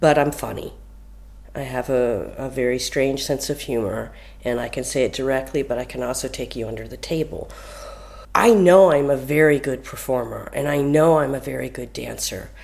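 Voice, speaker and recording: Noticeable background noise runs under a woman speaking at a moderate pace. Her loudness swings widely. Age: 50s. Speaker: dancer and choreographer. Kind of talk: interview.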